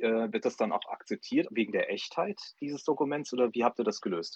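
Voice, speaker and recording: This man talks at a moderate pace, the sound dry and close with no echo. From Saarland, Saarbrücken. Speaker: startup advisor, co-host. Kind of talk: radio interview. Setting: phone call.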